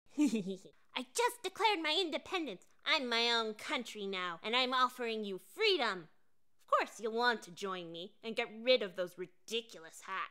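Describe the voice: This is a cartoonish character voice that sounds female, pitched fairly high. It moves at a moderate pace.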